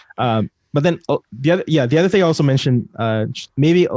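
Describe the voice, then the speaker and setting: Lively intonation marks this man's speech. He goes at a very fast pace. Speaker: author and software developer. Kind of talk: interview conversation. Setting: live stream podcast.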